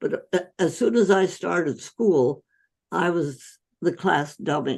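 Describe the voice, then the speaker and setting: Lively intonation at a very slow pace. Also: woman. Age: 80s+. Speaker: physician. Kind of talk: interview answer.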